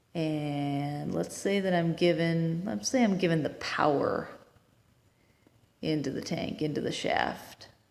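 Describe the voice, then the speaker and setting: A woman speaks at a very slow pace with a fairly low pitch and lively intonation. Audible room echo surrounds her voice. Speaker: engineering tutor. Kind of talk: tutorial.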